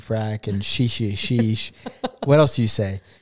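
A man's normal speaking voice of medium pitch at a moderate pace, on a very clean recording with a silent background. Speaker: podcast co-host, host's fiance. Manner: playful, joking.

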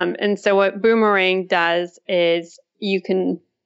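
Monotone, flat delivery in a Russian accent at a fairly slow pace. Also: woman. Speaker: tech startup founder and CEO. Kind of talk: interview.

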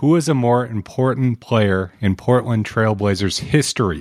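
On a very clean recording with a silent background, a man with a plain, everyday voice talks at a medium pitch and a fairly slow pace with ordinary pitch variation. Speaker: podcast producer. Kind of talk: reading quiz questions.

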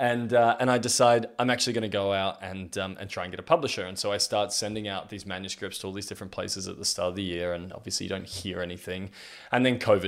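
A man with a fairly low pitch and an Australian accent, very fast pace with hardly any pauses, ordinary pitch variation, big swings in loudness, on a very clean recording with a silent background. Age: 30s. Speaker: podcast host. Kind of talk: personal storytelling monologue. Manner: halting.

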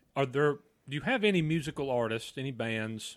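In a rural Southern US accent, a man talks at a moderate pace. The recording is very clean, with a silent background. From Southeastern US. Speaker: guest podcast co-host. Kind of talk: casual, joking. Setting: home podcast mic.

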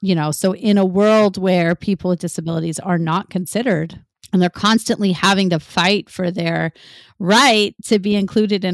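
A woman with an American accent speaks in an unremarkable speaking voice at medium pitch with ordinary pitch variation. The very clean recording has a silent background and a dry, close sound with no echo. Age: 40s. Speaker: paralympian and childbirth educator. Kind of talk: casual chat.

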